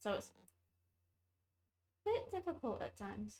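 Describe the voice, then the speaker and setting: Quietly, a woman talks at a moderate pace. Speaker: vtuber gamer streamer. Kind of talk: gameplay commentary.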